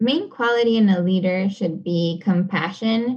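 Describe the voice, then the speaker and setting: A somewhat breathy woman's voice at a very slow pace, with ordinary pitch variation. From Panama (Panama City). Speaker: community organizer and racial justice advocate. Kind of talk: interview conversation. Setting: remote podcast interview.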